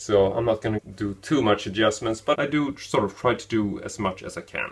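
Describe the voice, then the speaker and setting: The voice is somewhat breathy, with a Swedish accent. It moves at a fairly quick pace with ordinary pitch variation. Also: man, fairly low pitch for a man. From Sweden. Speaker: film review YouTuber. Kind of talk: running commentary. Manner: halting, with filler words.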